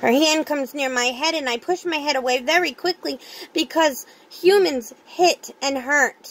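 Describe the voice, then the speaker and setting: A woman uses a put-on character voice at a high pitch. She speaks at a moderate pace. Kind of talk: dramatic monologue. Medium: read story. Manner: soft, fearful.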